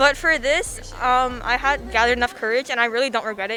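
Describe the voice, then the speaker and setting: A woman speaks fairly quickly in a high pitch with a bright, sharp tone. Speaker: talent show performer. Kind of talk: casual interview. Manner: shy, hesitant.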